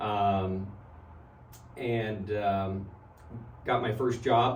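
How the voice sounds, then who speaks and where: In a room with audible echo and noticeable background noise, a man with an American accent talks at a fairly low pitch with fairly even intonation. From US Midwest. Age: 60s. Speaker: physician. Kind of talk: interview.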